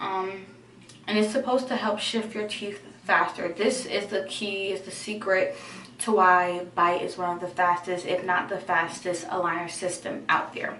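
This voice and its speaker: Someone speaks at a moderate pace, with audible room echo and noticeable background noise. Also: woman. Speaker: vlogger. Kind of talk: tutorial.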